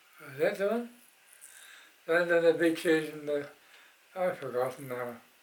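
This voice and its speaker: A man's fairly high voice at a moderate pace, with ordinary pitch variation and noticeable background noise. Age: 80s+. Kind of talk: interview answer. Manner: hesitant.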